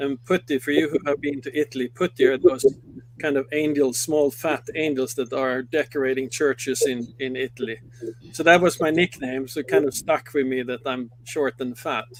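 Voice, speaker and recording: A man speaks with a Swedish accent. His pitch is medium and his pace moderate. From Sweden. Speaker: company executive. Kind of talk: interview. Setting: studio.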